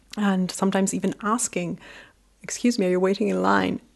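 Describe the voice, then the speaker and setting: A woman's voice over a quiet background. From England and Mexico. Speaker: information designer. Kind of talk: interview.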